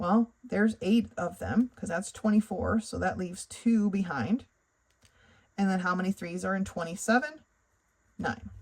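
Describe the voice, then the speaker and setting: Her voice is somewhat breathy and medium in pitch, with lively intonation. The woman keeps a moderate pace, with long, frequent pauses. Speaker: math tutor. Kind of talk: tutorial.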